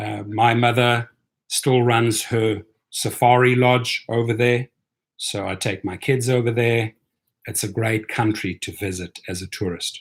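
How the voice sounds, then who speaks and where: A somewhat breathy man of medium pitch with a South African accent, at a fairly slow pace. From South Africa (and Europe), moving around. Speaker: rideshare driver and YouTuber. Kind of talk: live stream commentary. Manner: animated.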